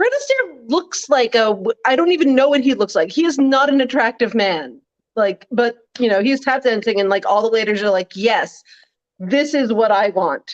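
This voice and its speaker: In a plain, everyday voice, a woman speaks at a fairly high pitch and moderate pace with lively intonation and very even loudness, the sound dry and close with no echo. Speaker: political blogger. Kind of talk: casual chat. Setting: live stream.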